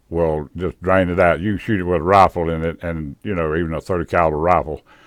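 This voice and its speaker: A man with a very deep, low pitch and a Southern US accent. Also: very clean recording, silent background. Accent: Southern US rural. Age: old. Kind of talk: casual drone video narration. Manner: rambling, folksy.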